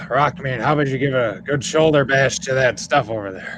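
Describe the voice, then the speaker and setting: Raspy and delivered at a fairly quick pace, the put-on character voice is heard over clear background noise. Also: man, medium pitch for a man. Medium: actual play. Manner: smooth, polite, quietly insistent.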